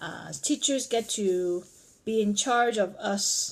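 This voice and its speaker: A woman with a Cantonese accent speaks with lively intonation on a very clean recording with a silent background. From Vietnam, Chinese community. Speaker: parent. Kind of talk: family interview.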